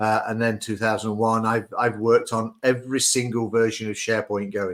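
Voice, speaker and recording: Medium-pitched male voice, flat and monotone, at a moderate pace. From Britain. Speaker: IT consultant and podcaster. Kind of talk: casual chat.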